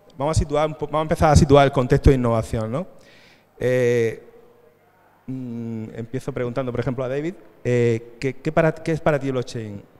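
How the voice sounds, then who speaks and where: The speaker has an Andalusian accent and fairly even intonation. The pace is fairly quick, broken by long, frequent pauses. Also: man, medium pitch for a man. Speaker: panel moderator. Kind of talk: conference panel moderation. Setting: stage with audience. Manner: halting.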